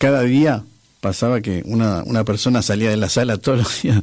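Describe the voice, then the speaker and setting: Noticeable background noise behind a man's moderate-paced speech. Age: 60s. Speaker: former public theatre manager and musician. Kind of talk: radio interview. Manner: halting, many fillers and repetitions.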